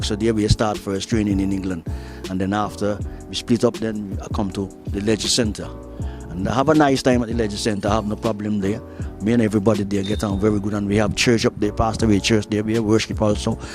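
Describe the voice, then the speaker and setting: Music plays in the background as a man talks at a very fast pace. His pitch is fairly low, with ordinary variation. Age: 70s. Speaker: gym enthusiast. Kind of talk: casual talk to camera.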